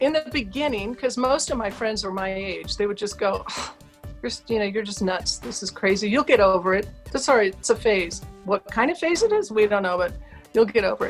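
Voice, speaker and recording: A woman with an American accent speaks at a fairly quick pace in an animated tone, her medium-pitched voice carrying lively intonation over music in the background. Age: 60s. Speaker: author and public speaker. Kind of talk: interview.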